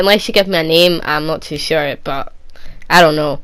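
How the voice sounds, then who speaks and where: A woman's fairly low voice in a Scottish accent, at a moderate pace, with fairly even intonation. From Scotland, Edinburgh. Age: 20s. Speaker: gaming youtuber. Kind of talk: Q&A video answering viewer questions. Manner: casual, rambling with repetitions.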